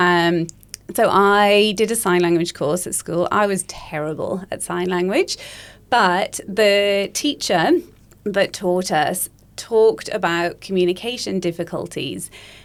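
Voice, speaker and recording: A woman with a slight Welsh accent talks at a fairly slow pace and a medium pitch. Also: ordinary pitch variation. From Wales. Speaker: speech pathologist. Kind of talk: podcast interview.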